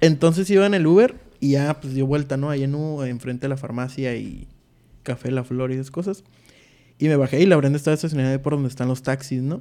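Talking at a very fast pace, a man with a fairly high pitch and a dark, mellow tone keeps his intonation fairly even. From Tijuana, Mexico. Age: 20s. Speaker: wedding photographer. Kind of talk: casual chat.

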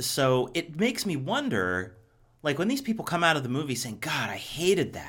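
A man at a moderate pace, with vocal fry and very wide pitch swings. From Ohio, US Midwest. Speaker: podcast host. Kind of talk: casual chat.

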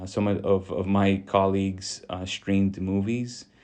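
A man's very deep, low voice comes through with a dark, mellow tone and flat, monotone intonation. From US South, Texas Rio Grande Valley. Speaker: former police officer, criminology professor. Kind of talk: interview. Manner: halting, many repetitions.

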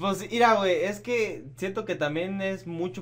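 Room echo can be heard as a man talks at a moderate pace. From Michoacán, Mexico. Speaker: podcast host. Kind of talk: casual chat.

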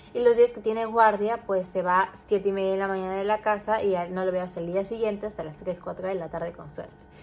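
A woman at a fairly quick pace with fairly even intonation and big swings in loudness, music playing in the background. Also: medium pitch for a woman. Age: 20s. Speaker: podcaster. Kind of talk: casual monologue.

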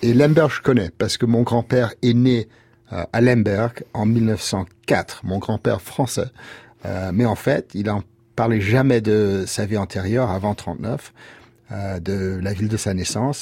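A man with an English accent, fairly low-pitched, dark and mellow in tone, with ordinary pitch variation at a very slow pace, on a very clean recording with a silent background. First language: English (speaking French). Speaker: lawyer and writer. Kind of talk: interview. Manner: halting.

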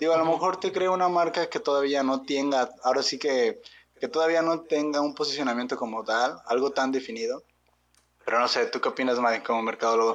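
A man with a Mexican accent talks at a fairly quick pace in a fairly high pitch, with ordinary pitch variation, very even loudness and a quiet background. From Mexico. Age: 20s. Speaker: podcast co-host. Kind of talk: casual chat.

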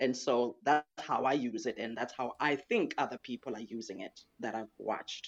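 A woman speaks with a very deep, low pitch and ordinary pitch variation, with hardly any pauses. The sound is dry and close, with no echo. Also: moderate pace. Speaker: audience member asking a question. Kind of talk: casual chat. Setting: online audio room.

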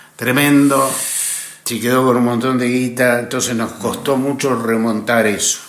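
A man's medium-pitched, monotone, flat delivery at a fairly slow pace, with audible room echo and noticeable background noise. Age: 60s. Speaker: actor and radio broadcaster. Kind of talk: casual interview chat.

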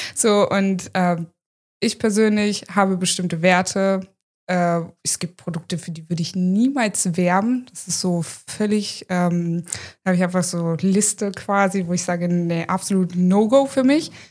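A woman with an ordinary speaking voice and medium pitch talks at a fairly slow pace, with ordinary pitch variation and big swings in loudness, on a very clean recording with a silent background. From Hanover, northern Germany. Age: 30s. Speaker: content creator. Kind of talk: casual interview.

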